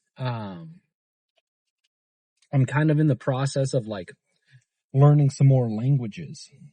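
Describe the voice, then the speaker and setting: A man speaks fairly slowly in a fairly high, somewhat breathy voice. His tone is dark and mellow, with long, frequent pauses. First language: Arabic. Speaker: fitness vlogger. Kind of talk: casual vlog chat. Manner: hesitant, many fillers.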